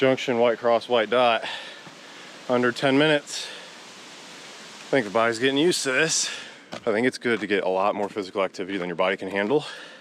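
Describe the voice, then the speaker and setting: A man with an American accent speaks at a very fast pace and medium pitch, with ordinary pitch variation, long, frequent pauses and noticeable background noise. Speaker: vlogger and conservation crew member. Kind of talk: vlog narration. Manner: casual.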